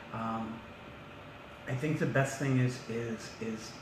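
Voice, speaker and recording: A man's fairly even intonation comes through with noticeable background noise and audible room echo. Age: 60s. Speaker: municipal council candidate. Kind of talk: interview.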